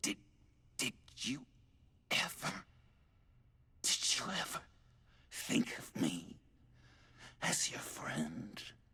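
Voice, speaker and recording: A man whispers in a raspy, put-on character voice at a very slow pace. Long pauses come often. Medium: video game. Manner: laughing, erratic.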